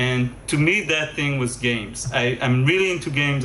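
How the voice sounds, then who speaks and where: Audible room echo surrounds this recording. A man speaks at a moderate pace. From Israel. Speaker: game developer and music composer. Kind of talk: conference lecture. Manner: hesitant, many fillers and repetitions.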